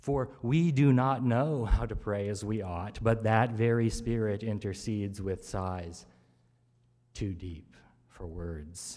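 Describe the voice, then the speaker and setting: Speaking very slowly against a quiet background, a man uses a fairly low pitch with ordinary variation. His tone is warm, dark and mellow. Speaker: preacher. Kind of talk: sermon. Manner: rhythmic, measured preaching with repeated triplets and a drumbeat cadence; warm, conversational asides with laughter. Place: church. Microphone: podium.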